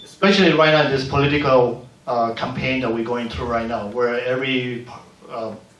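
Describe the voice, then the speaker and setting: Over noticeable background noise and audible room echo, a man with a medium pitch talks at a moderate pace with ordinary pitch variation. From Panama. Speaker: community leader and filmmaker. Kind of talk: panel discussion. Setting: museum panel event.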